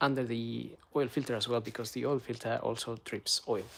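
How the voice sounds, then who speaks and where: A man talks at a moderate pace. He speaks with a Spanish accent. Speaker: car maintenance youtuber. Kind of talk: tutorial; casual chat. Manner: hesitant, many fillers.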